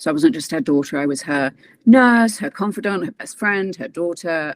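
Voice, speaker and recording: A dry, close recording with no echo of a woman with a British accent, fairly low in pitch with lively intonation. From England. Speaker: transformation and mindset coach, former actress. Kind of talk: interview testimony.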